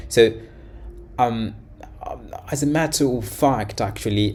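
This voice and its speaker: Speaking at a fairly slow pace, a man delivers the lines. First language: Portuguese. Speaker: language learning youtuber. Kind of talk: reaction video commentary. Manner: halting, many fillers and repetitions.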